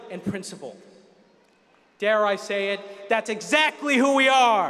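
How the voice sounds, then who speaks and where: A man with an American accent speaks at a high pitch and a moderate pace. Noticeable background noise runs underneath. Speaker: student commencement speaker. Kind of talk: commencement speech. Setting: arena ceremony with audience. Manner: formal, impassioned oratory.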